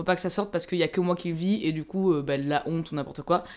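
An ordinary speaking voice from a woman, fairly low in pitch, with fairly even intonation. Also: very clean recording, silent background. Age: 20s. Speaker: podcast guest. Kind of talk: casual chat.

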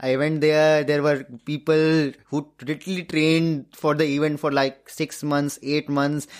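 A man speaks at a fairly high pitch and a fairly slow pace, with monotone, flat intonation and very even loudness. The recording is very clean, with a silent background. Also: hardly any pauses. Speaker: ultrarunner. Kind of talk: interview.

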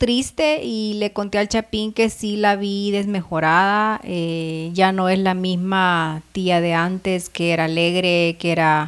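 The speech is very slow, with hardly any pauses. Its intonation is lively. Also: woman, very clean recording, silent background. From El Salvador. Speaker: podcast co-host. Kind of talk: casual chat.

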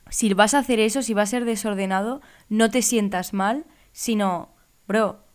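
In a plain, everyday voice, a woman with a fairly high pitch talks at a fairly slow pace with fairly even intonation. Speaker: podcast co-host, law student. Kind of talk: casual chat.

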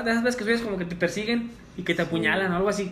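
Lively intonation runs through a man's speech. His pitch is high. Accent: Mexican. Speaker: teacher. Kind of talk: casual chat.

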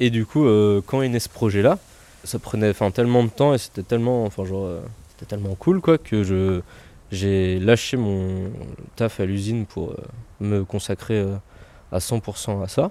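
With long, frequent pauses, a man speaks at a fairly slow pace in a dark, mellow tone, his pitch fairly low with ordinary variation. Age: 20s. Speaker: squat activist. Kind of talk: interview. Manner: casual, hesitant.

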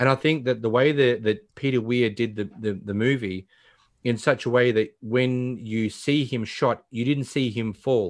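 A man with an Australian accent at a medium pitch, fairly slow and fairly even in intonation, over a quiet background. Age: 40s. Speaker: podcast host. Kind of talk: casual chat; plot summary reading.

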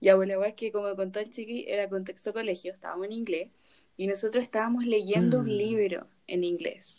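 Speaking in a Chilean accent, a woman uses a dark, mellow tone with fairly even intonation at a fairly quick pace. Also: medium pitch for a woman. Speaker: podcast host. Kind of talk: casual chat.

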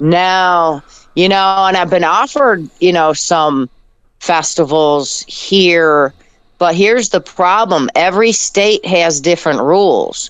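Her loudness very even, a woman with an American accent speaks at a very slow pace in a fairly low pitch with ordinary pitch variation. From Detroit, US Midwest. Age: 60s. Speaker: blues singer. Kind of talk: interview. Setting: phone call.

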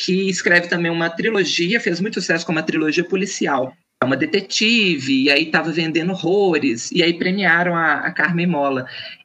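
At a moderate pace, the speaker goes on with hardly any pauses. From Minas Gerais interior, Brazil. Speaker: book podcast co-host. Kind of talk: casual chat about books and film.

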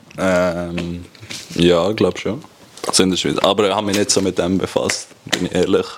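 Over noticeable background noise, a man speaks at a moderate pace in a very deep, low pitch with monotone, flat intonation. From Switzerland, Graubünden (Chur). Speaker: professional ice hockey player. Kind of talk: casual chat.

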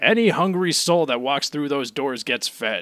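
This man puts on a character voice, pitched fairly high. He talks at a moderate pace with lively intonation. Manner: mocking.

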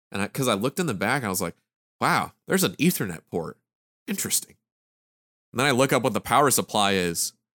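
Recorded very cleanly against a silent background with a dry, close sound and no echo, a man at medium pitch talks at a very fast pace with very wide pitch swings and long, frequent pauses. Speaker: podcast host. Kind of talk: casual chat. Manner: joking.

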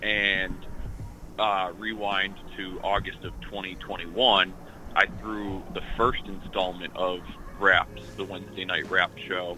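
With music in the background, a man talks at a very slow pace in a very deep, low pitch and a monotone, flat intonation. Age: 30s. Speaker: hip hop artist. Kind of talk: radio interview. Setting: phone call.

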